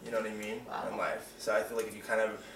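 A man talks at a very fast pace. Audible room echo and light background noise surround his voice. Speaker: interviewee sharing coming-out experience. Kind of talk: casual interview. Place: home room. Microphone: camera far.

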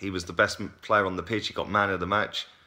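Against a quiet background, a man speaks at a fairly quick pace. His pitch is fairly low and his tone bright and sharp. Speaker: football fan vlogger. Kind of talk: casual vlog commentary. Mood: frustrated opinionated. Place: home room. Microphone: phone near.

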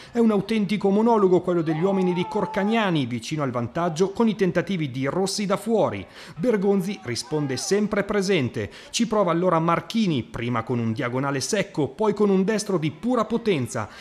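This man talks at a fairly quick pace in a high voice, his tone animated and dramatic and his intonation lively. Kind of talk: sports highlights voiceover, scripted narration. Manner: fast, animated, dramatic, formal journalistic tone.

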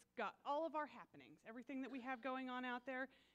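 Her voice sits high in pitch for a woman. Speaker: church announcer. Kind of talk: church announcements. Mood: upbeat, welcoming. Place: church.

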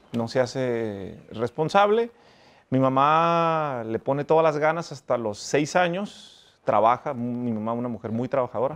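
A man at a fairly slow pace with lively intonation. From Mexico, Ensenada, Baja California; Baja California, Mexico. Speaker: lawyer and businessman, former gang member; interviewee. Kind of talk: life story interview. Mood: reflective, earnest. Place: garden. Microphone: lapel.

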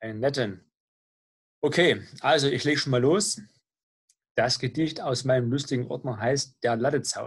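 A somewhat breathy man's voice of medium pitch, with ordinary pitch variation, a moderate pace, and long, frequent pauses. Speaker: channel host. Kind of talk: casual talk to camera.

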